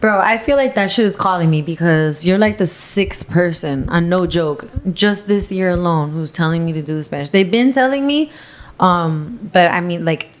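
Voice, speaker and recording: A woman with a Miami accent, a fairly low pitch, lively intonation and a moderate pace, set against noticeable background noise. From Miami, Florida. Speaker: model and singer. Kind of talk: casual chat.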